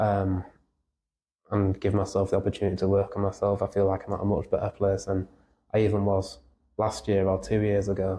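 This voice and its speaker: A man's fairly low, somewhat breathy voice with a dark, mellow tone, monotone and flat, at a fairly quick pace broken by long, frequent pauses. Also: very even loudness, quiet background. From Yorkshire, England. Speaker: musician in a band. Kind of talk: podcast interview. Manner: halting.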